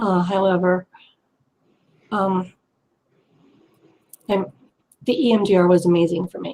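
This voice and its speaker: A woman in an American accent, medium-pitched and dark, mellow in tone, with fairly even intonation and big swings in loudness. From US East Coast. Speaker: abuse survivor. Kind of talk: testimony. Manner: fast.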